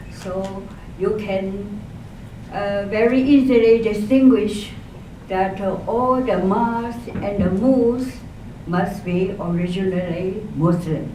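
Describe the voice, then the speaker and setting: A woman with a Chinese accent at a medium pitch and a very slow pace, ordinary pitch variation, audible room echo and noticeable background noise. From eastern China, Jiangsu. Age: 80s+. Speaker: elderly speaker telling life story. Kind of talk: personal testimony talk. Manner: halting, many hesitations.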